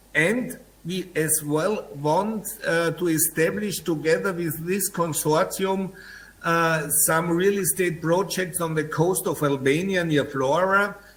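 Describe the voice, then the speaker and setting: A man's high-pitched voice, very slow, fairly even in intonation, with audible room echo. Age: 60s. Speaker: real estate developer. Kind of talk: press conference answers.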